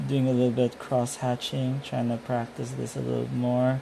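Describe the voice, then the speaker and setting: A quiet male voice against noticeable background noise. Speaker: artist sketching on livestream. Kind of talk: casual chat while drawing.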